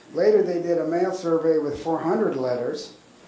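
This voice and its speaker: With an American accent, a man speaks at a moderate pace in a high pitch, with audible room echo around him. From US Northeast, Massachusetts. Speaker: volunteer archivist presenting local history. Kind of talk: public lecture with slides. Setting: community center room with audience. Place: hall. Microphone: handheld.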